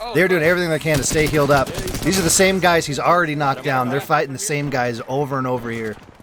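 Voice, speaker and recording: This man talks at a very fast pace in a fairly high pitch, his tone energetic and his pitch variation ordinary, over noticeable background noise. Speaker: esports shoutcaster / commentator. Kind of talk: live esports shoutcast commentary. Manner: energetic, fast-paced play-by-play.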